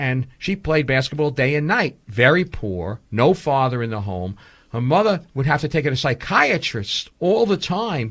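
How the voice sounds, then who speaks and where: On a very clean recording against a silent background, a man with a New York accent speaks at a moderate pace in a bright, sharp, animated tone, his pitch swinging very widely. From New York City (Brooklyn). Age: 60s. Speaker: documentary filmmaker. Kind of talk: radio interview.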